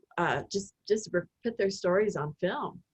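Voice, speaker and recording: A woman with an Oklahoma accent speaks in a somewhat breathy voice with fairly even intonation. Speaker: film producer. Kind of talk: interview conversation. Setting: video call.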